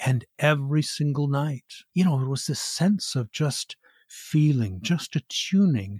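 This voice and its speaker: This man's voice is somewhat breathy and fairly high in pitch for a man. He speaks at a fairly slow pace. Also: lively intonation, dry, close sound with no echo, very clean recording, silent background. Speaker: author and embodiment teacher; actor. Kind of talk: guided meditation and interview. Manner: theatrical, articulate.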